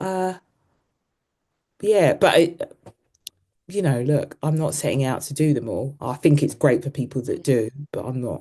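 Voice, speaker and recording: A woman with a London accent has a very deep, low pitch and a dark, mellow tone. She leaves long, frequent pauses. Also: ordinary pitch variation, moderate pace. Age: 50s. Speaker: running coach. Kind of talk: casual chat. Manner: casual, hesitant with fillers.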